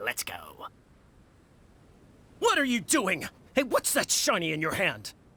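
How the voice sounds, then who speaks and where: The speaker uses a put-on character voice at a fairly high pitch, going at a fairly slow pace with long, frequent pauses. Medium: video game. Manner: lively, giggly.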